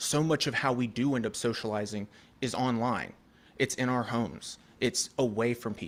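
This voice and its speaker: In a very clean recording with a silent background, a man with a plain, everyday voice talks at medium pitch and a moderate pace. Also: fairly even intonation. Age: 30s. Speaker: public commenter at zoning hearing. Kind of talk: public testimony. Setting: public hearing meeting room.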